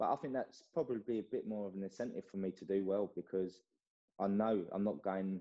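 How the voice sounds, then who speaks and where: With an English accent, a man talks at a fairly quick pace. His pitch is very deep and low, his intonation fairly even. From England. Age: 20s. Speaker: karate athlete. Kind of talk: interview.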